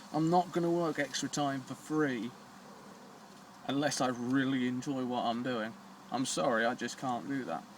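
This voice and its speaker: A man speaks with a British accent. He leaves long, frequent pauses. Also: medium pitch for a man, ordinary pitch variation, moderate pace. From Britain. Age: 20s. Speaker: vlogger. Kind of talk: personal vlog. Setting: smoking a cigar on camera. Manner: halting.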